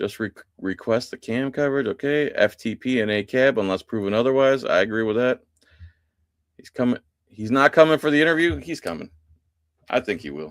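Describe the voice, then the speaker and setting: In an American accent, a man of medium pitch talks at a fairly quick pace with lively intonation, big swings in loudness and long, frequent pauses, all in a dry, close sound with no echo. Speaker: live stream host. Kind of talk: casual live stream chat, reading viewer comments. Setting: live stream. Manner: animated.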